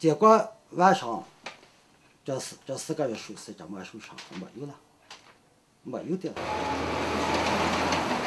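Amid light background noise, a man with a fairly high pitch speaks with very wide pitch swings. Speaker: local villager, famine witness; witness. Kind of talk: interview testimony. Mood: grave recounting of famine. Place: shop.

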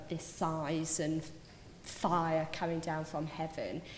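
Amid audible room echo and light background noise, a woman speaks at a very slow pace. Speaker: speaker. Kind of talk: personal testimony talk. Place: hall. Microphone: podium.

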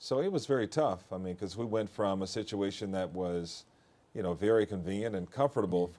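A man's dark, mellow voice with an American accent, ordinary pitch variation and a fairly quick pace. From US Midwest, St. Louis area; US Midwest. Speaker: TV news anchor. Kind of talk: interview. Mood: reflective, personal. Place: studio.

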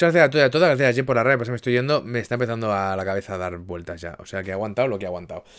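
A man's medium-pitched voice at a very fast pace with hardly any pauses, lively intonation and big swings in loudness, over a quiet background. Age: 30s. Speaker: gaming streamer; streamer. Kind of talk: casual chat. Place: home room.

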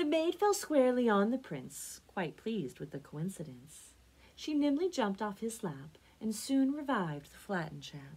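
Somewhat breathy, a woman speaks at a moderate pace with very wide pitch swings. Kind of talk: read-aloud storytelling. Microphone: phone near.

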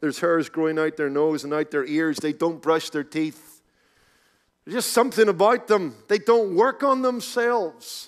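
A man with a Northern Irish accent speaks at a moderate pace against a quiet background. His voice is high, with lively intonation. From Northern Ireland, Belfast. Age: 40s. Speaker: pastor. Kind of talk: sermon. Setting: conference stage with audience. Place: hall. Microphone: headset.

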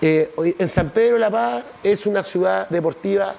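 A man with a Chilean accent, high-pitched, at a fairly slow pace. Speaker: city councillor. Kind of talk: TV interview. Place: studio. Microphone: lapel.

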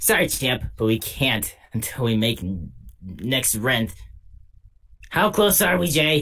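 Someone speaks in a put-on character voice at a fairly slow pace. Long pauses come often. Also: man, medium pitch for a man. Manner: whiny, then gruff.

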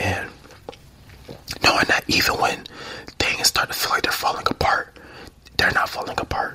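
A man's relaxed whisper at a moderate pace, broken by long, frequent pauses. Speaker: ASMR creator. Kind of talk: casual ramble to camera. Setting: studio, drinking tea. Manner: soft-spoken, relaxed. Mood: reflective, positive. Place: home room. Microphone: handheld.

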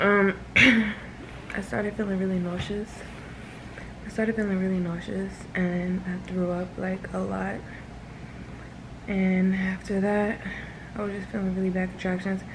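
Long, frequent pauses break up the speech over noticeable background noise. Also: woman. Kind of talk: casual vlog chat. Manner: weary, low, worn-out voice. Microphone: phone near.

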